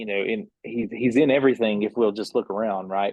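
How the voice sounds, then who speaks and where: In an Appalachian accent, a man speaks with a dry, close sound free of echo against a quiet background. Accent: Appalachian mountain. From US South. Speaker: band member. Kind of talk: casual chat. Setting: podcast.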